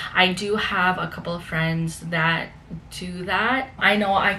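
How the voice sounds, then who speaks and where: In a room with audible echo and noticeable background noise, a woman speaks at a medium pitch with fairly even intonation. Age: 20s. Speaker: fitness and lifestyle vlogger. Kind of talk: casual vlog talk to camera. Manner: conversational with fillers.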